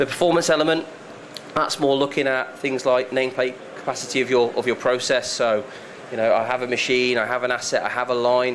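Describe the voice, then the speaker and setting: Medium-pitched male voice with fairly even intonation over noticeable background noise. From UK. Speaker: software consultant presenter. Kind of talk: presentation to live audience. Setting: room with audience.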